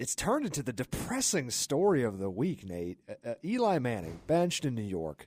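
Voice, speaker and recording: At a moderate pace and with hardly any pauses, a man talks at medium pitch in an energetic tone, his pitch swinging very widely, in a dry, close recording with no echo that is very clean with a silent background. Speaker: sports radio talk show host. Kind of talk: live sports radio talk show. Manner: conversational, opinionated, energetic.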